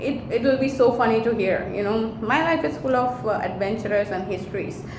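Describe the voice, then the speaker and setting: A woman speaks with a Tamil accent and ordinary pitch variation. Audible room echo and noticeable background noise fill the recording. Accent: Indian (Tamil) English. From India, Chennai (Tamil Nadu). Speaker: vlogger, hotel industry worker. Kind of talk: casual vlog advice talk.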